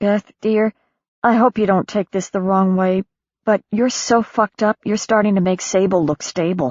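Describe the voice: Plain reading aloud with fairly even intonation over a quiet background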